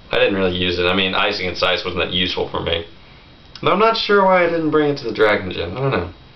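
Very fast speech from a man with a fairly low pitch. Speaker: gamer vlogger. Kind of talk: casual vlog chat about a video game. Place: home room. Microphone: webcam.

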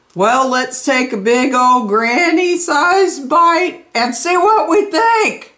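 At a slow pace, a woman speaks with a high pitch, a bright, sharp tone and lively intonation.

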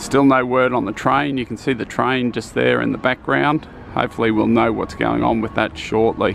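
The speech moves at a moderate pace with a dry sound and no echo. Light background noise is present. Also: man. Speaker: theme park construction vlogger. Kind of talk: casual vlog commentary. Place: street. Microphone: phone near.

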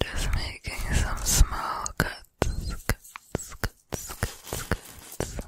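Whispering, a woman speaks at a very slow pace. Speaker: ASMR creator. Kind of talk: soft ASMR whisper to viewer. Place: home room. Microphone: studio mic.

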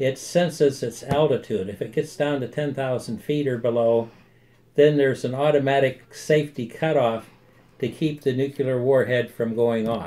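A man with an American accent, a dark, mellow tone, fairly even intonation and a moderate pace. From United States. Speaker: army veteran. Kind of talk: interview answer. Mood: calm, friendly explaining. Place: office. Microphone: phone near.

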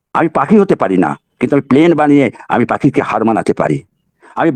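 Vocal fry and very wide pitch swings in a dry, close sound with no echo. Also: man. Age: old. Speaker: motivational speaker. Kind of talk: motivational webinar talk. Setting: webinar.

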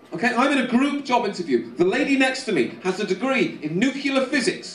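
The room echo is audible. There is light background noise. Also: man. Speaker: stand-up comedian. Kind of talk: stand-up comedy. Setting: stage with audience. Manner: animated; punchy, conversational delivery with mock-voiced characters. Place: stage.

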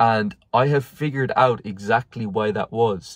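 Here a man speaks with fairly even intonation. The background is quiet and the sound is dry with no echo. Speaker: vlogger. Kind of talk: casual vlog chat. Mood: reflective, candid. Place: car. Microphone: phone near.

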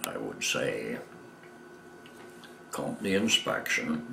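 The very slow speech comes through with light background noise and audible room echo. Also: man. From Michigan. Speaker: war veteran. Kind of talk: interview answer. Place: home room.

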